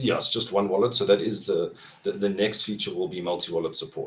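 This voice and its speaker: A man with a South African accent talks at a very fast pace. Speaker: crypto app developer. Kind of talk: podcast interview.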